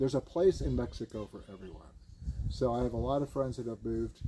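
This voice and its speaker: This man has an American accent, a medium pitch, a dark, mellow tone and a somewhat breathy quality. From US West Coast. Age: 70s. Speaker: expat local resident. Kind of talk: casual chat.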